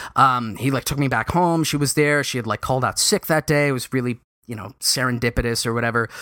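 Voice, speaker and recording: In a New York accent, a man speaks very fast at a medium pitch with ordinary pitch variation, in a very clean, dry, close recording with a silent background and no echo. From New York City (Lower Manhattan). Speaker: podcast host. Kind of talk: solo monologue. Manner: hesitant, many fillers.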